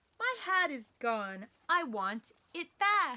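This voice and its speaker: A woman puts on a character voice, high-pitched and very slow, with very wide pitch swings. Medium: read story.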